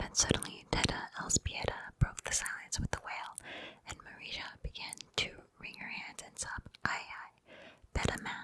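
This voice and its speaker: Whispering at a moderate pace, the voice shows big swings in loudness. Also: woman. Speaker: ASMR creator. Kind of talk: reading an excerpt aloud. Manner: whispered.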